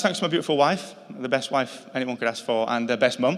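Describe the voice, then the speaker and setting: A fairly high-pitched man in a Yorkshire accent, at a fairly quick pace. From northern England, Yorkshire. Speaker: podcast company founder, award inductee. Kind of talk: acceptance speech.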